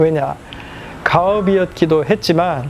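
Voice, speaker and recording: Against noticeable background noise, a man with a high pitch talks at a fairly slow pace with ordinary pitch variation. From South Korea, Pohang. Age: 20s. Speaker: family ice business owner. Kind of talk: documentary interview.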